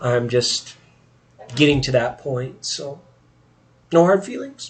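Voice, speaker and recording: Over noticeable background noise, a man with a fairly high voice speaks at a fairly slow pace, with ordinary pitch variation. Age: 40s. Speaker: tarot reader streamer. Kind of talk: casual live stream chat. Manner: casual, chatty.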